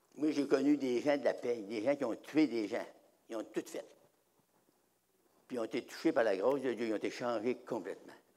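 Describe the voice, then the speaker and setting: A man's dark, mellow voice at medium pitch and a moderate pace, with ordinary pitch variation and long, frequent pauses. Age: 80s+. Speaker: preacher. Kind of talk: sermon.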